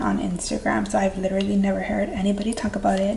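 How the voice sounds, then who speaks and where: The woman's very fast talking comes with noticeable background noise. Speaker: beauty vlogger. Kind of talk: casual chat.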